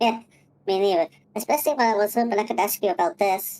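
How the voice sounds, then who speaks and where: Using a put-on character voice at a medium pitch, a woman talks at a very fast pace. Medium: actual play.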